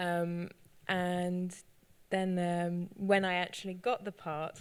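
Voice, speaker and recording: Very slow speech with a British accent on a very clean recording, silent in the background. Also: woman. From northern England. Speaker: actor and cellist. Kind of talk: panel discussion. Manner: hesitant, many fillers.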